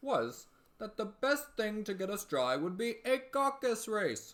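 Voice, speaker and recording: Delivered in a put-on character voice, the lines come at a fairly slow pace and a fairly high pitch. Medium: read story. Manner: solemn, grave, pompous.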